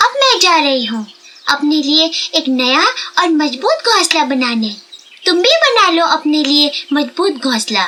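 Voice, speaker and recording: In a cartoonish character voice, a woman talks at a moderate pace with a high pitch and very wide pitch swings. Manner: earnest, slightly anxious.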